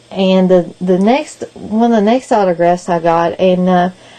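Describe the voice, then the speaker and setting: A woman with a Kentucky accent, medium pitch and fairly even intonation, at a fairly slow pace. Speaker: video blogger and podcast co-host. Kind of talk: casual vlog update.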